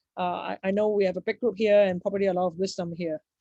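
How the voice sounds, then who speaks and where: The woman's medium-pitched voice sounds dry and close, with no echo. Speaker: seminar presenter. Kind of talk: Q&A after talk. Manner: fast; halting.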